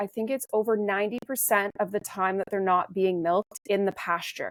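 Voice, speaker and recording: At a moderate pace with fairly even intonation, an unremarkable speaking voice comes through in a very clean recording with a silent background, dry and close with no echo. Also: woman. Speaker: supplement company co-founder. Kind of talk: interview. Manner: casual with fillers.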